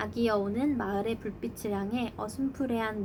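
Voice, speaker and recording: A woman with a normal speaking voice, fairly high in pitch, with ordinary pitch variation, at a fairly slow pace. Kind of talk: children's storybook reading.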